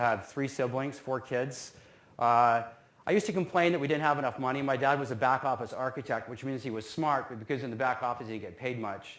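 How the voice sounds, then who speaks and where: A man talks at a very fast pace in a western Canadian accent. His pitch is medium, with ordinary variation. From Canada, North Vancouver. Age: 50s. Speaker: business alumnus speaker. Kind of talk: talk to students. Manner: casual, self-deprecating humor.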